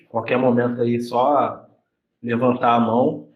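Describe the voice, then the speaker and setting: A man speaks with audible room echo around him. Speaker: university professor. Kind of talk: lecture in informal dialogue with students.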